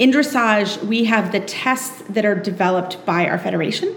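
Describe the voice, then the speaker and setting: Noticeable background noise sits behind a woman's voice. Her pitch is fairly high, with ordinary variation. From Kentucky, Lexington. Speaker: dressage trainer and podcaster. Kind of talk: interview.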